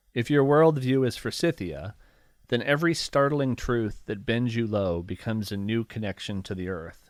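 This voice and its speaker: Over a very clean recording with a silent background, a man with an American accent and a plain, everyday voice talks at a moderate pace and medium pitch with lively intonation. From rural Ohio, near Appalachia. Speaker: poet. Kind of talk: poetry reading; casual chat.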